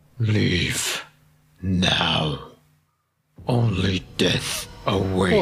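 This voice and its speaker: A man uses a put-on character voice. His pitch is very deep and low. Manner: menacing.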